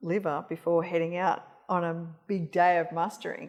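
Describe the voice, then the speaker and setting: A woman speaks very slowly in an Australian accent. Her pitch is fairly low. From Australia, Northern Territory. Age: 50s. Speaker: cancer rehabilitation practitioner. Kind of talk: casual interview chat. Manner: hesitant, many fillers.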